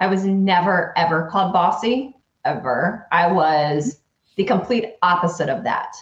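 A woman talks at a moderate pace, somewhat breathy, with ordinary pitch variation. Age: 40s. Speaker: business coach. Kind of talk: interview.

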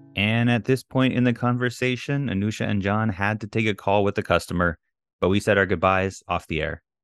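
A man with an unremarkable speaking voice and a fairly low pitch. He talks at a fairly quick pace with ordinary pitch variation. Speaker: engineering lecturer, podcast host. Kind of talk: scripted narration.

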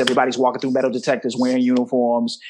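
A man with an American accent speaks in a plain, everyday voice at a medium pitch, with fairly even intonation. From Chicago. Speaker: professor. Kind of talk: casual chat.

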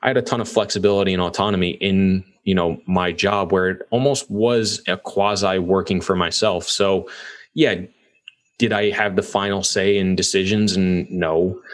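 A man talks at a moderate pace in an ordinary speaking voice, with an American accent. His pitch sits fairly low for a man, and his intonation stays fairly even. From New York. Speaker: real estate investor. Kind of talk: casual interview.

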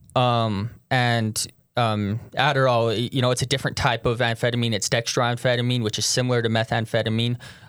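Speaking at a fairly quick pace, a man holds a medium pitch in a monotone, flat intonation with very even loudness, captured in a very clean recording with a silent background. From Utah. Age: 20s. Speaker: person in addiction recovery. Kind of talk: personal testimony interview.

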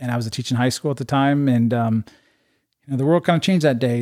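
A man with a Midwestern American accent and a dark, mellow tone. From Iowa, Urbandale. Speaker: state legislator. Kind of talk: casual chat. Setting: host's living room.

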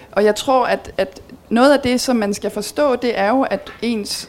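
Ordinary pitch variation runs through a plain, everyday voice. The delivery is fairly slow. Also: woman. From Belgium. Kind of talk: talk with audience Q&A.

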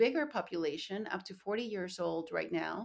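Recorded very cleanly against a silent background, a woman with a Spanish accent speaks at a fairly slow pace in a medium pitch. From Colombia (Bogotá). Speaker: nonprofit founder. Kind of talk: interview.

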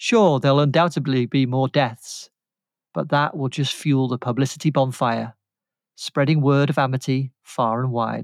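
A man's fairly high-pitched, plain, everyday voice with fairly even intonation, dry and close with no echo, in a very clean recording with a silent background. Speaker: podcast panelist. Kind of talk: casual chat.

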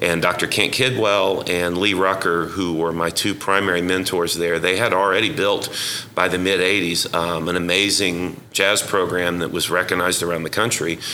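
Against noticeable background noise and audible room echo, a man speaks in a very deep, low voice with monotone, flat intonation, very even loudness and hardly any pauses. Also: moderate pace. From Oklahoma, Yukon. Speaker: jazz educator and musician. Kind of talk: interview.

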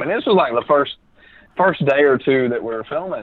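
With a Southern US accent, a man speaks at a fairly quick pace in a fairly high pitch with ordinary pitch variation. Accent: Southern American. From Alabama. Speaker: podcast guest, film writer and director.

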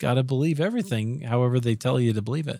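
A man's medium-pitched voice at a fairly quick pace, with a dry, close sound and no echo. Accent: Midwestern American. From US Midwest, Iowa. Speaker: podcast host. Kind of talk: podcast interview. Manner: friendly, professional.

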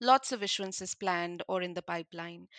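A woman with a normal speaking voice talks at a moderate pace and a medium pitch. The sound is dry and close with no echo, against a quiet background. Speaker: podcast co-host. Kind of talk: podcast intro and news roundup.

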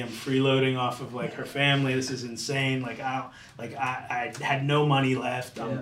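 There is audible room echo and noticeable background noise in this clip. A man speaks at a medium pitch and moderate pace with monotone, flat intonation. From Florida, Tampa area. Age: 30s. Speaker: chef and deli owner. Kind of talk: casual interview.

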